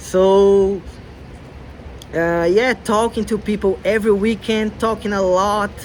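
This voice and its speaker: A man with a Brazilian accent talks at a high pitch with ordinary pitch variation. Noticeable background noise runs behind him. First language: Portuguese. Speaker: language learner vlogger. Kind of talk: casual vlog talk. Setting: outdoors in the cold.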